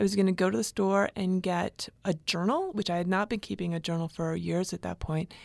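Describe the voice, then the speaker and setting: A woman speaks at a fairly quick pace and medium pitch with ordinary pitch variation in an ordinary speaking voice. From US, military family, grew up in Hawaii and elsewhere. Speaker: author and English professor. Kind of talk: reading aloud from memoir; interview conversation. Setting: radio studio.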